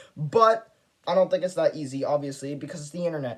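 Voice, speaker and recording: A man's fairly high pitch at a very fast pace. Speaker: YouTuber. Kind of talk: casual vlog monologue. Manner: stutters; talkative, rambling flow.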